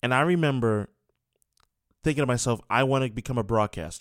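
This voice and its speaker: A man's medium-pitched voice with a New York accent, lively intonation and a fairly quick pace, on a very clean recording with a silent background. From New York City. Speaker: sports radio host. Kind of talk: sports talk radio monologue. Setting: radio studio.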